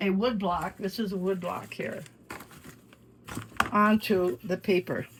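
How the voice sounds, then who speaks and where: A woman speaks with an Upper Midwest accent at a fairly slow pace, leaving long, frequent pauses. Her pitch varies in an ordinary way, and background noise is noticeable. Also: medium pitch for a woman. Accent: Upper Midwest American. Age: 90s. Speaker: artist. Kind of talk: casual chat.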